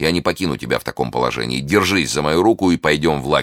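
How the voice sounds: Using a put-on character voice, a man speaks fast with lively intonation at an extremely low pitch. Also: fairly bright tone.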